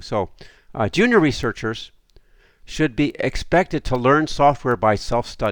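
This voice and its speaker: A man speaks at a moderate pace with a medium pitch, on a very clean recording with a silent background. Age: 60s. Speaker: academic lecturer. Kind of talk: lecture.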